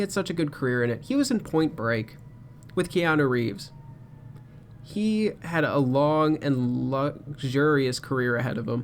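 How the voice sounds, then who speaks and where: With a fairly high pitch and ordinary pitch variation, a man keeps a moderate pace. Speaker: podcast host. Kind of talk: solo podcast rant. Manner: animated.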